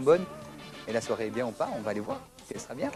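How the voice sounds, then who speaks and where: Against noticeable background noise, the words come very fast. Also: man. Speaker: Brussels nightlife and event figure. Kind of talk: TV interview answer.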